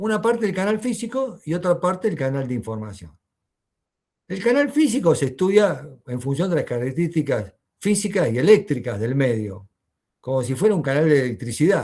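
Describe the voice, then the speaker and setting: Very wide pitch swings mark this voice, heard at a moderate pace against a quiet background. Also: man, fairly high pitch for a man. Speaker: university lecturer. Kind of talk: lecture.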